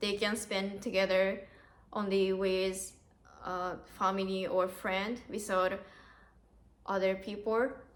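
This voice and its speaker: Very slowly, a woman speaks at a medium pitch, with audible room echo around her. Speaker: au pair, vlogger. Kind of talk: interview. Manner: halting.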